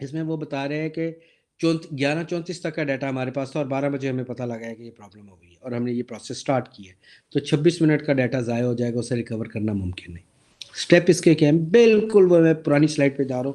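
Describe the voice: Fast-paced, a man talks at medium pitch in a dark, mellow tone with ordinary pitch variation.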